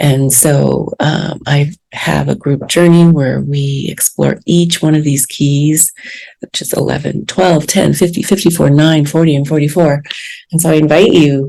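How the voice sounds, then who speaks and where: Soft-spoken, with a very deep, low pitch and a dark, mellow tone, a woman talks at a moderate pace with fairly even intonation. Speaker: podcast host and spiritual teacher. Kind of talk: podcast monologue. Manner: hesitant with fillers.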